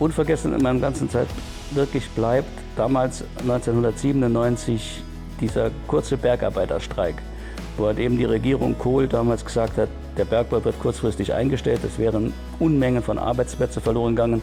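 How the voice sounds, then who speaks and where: A man talks at a fairly quick pace with very even loudness. Music plays in the background. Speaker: retired miner, surveyor. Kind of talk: interview answer.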